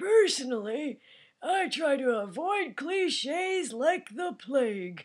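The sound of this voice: Using a put-on character voice, a woman speaks high and fairly slowly with very wide pitch swings, recorded very cleanly over a silent background.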